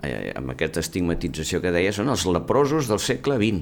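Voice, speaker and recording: Very deep and low, a man's voice swings very widely in pitch as he talks at a fairly slow pace. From Catalonia, Mataró (Maresme). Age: 70s. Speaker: surgeon and former university rector. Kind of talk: interview. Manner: halting.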